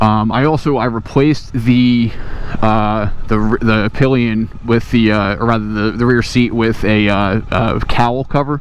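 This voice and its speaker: A man talks at a medium pitch with fairly even intonation and very even loudness. Noticeable background noise runs underneath. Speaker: motorcycle owner reviewer. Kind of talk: casual motovlog talk to camera. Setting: outdoors. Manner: hesitant, many fillers.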